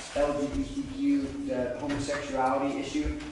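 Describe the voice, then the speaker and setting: Under strong room echo and light background noise, a man speaks with monotone, flat intonation. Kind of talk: impromptu congregation discussion with scripture reading. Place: church.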